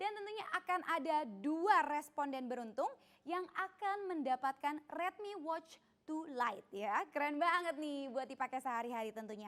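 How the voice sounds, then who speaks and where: With noticeable background noise behind her, a woman speaks in a high pitch with very wide pitch swings. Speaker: event emcee. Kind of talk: press conference hosting. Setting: online press conference streamed live. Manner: fast; animated.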